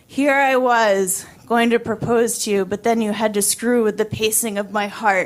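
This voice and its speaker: In a put-on character voice, a woman talks at a moderate pace with a raspy, fairly high pitch, a monotone, flat intonation and hardly any pauses. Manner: joking, wry.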